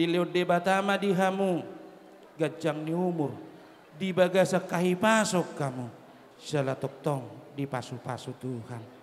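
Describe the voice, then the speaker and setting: Pitched high, a man's voice moves at a fairly slow pace with ordinary pitch variation. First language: Batak Toba (speaking Indonesian). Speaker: clan association leader at wedding. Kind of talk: ceremonial speech.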